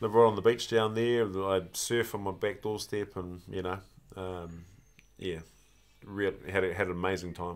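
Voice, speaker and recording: Long, frequent pauses break up a man's speech in a New Zealand accent. His very deep, low voice holds fairly even intonation. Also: moderate pace. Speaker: former rugby player. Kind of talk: casual chat. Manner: halting.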